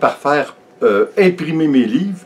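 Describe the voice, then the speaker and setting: The speaker has a Quebec accent. The pitch swings very widely. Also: man. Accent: Québécois French. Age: 60s. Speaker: vlogger. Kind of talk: casual vlog talk. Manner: halting, many fillers.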